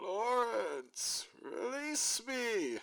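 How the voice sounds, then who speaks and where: The voice is a put-on character voice. It sits at a fairly high pitch. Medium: read story. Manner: booming, grandiose.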